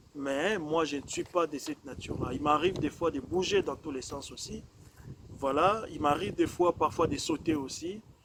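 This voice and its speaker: At a moderate speed, a man with a fairly high voice and ordinary pitch variation talks through noticeable background noise. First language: not French (speaking French). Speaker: preacher. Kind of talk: sermon. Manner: measured, calm pace; hesitant, many fillers and repetitions.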